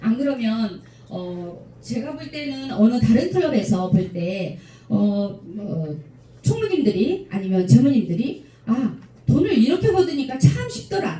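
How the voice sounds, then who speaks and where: At a very slow pace, a woman speaks in a somewhat breathy, dark, mellow tone, fairly high in pitch, with very wide pitch swings. Her loudness varies greatly, and the room echo is audible. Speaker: lecturer at club officers' training. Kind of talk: lecture Q&A with audience.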